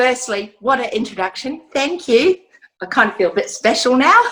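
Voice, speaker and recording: Speaking at a moderate pace with an Australian accent, a woman uses a high pitch that swings very widely. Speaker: domestic violence survivor and charity founder. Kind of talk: testimony. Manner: frequent throat clearing.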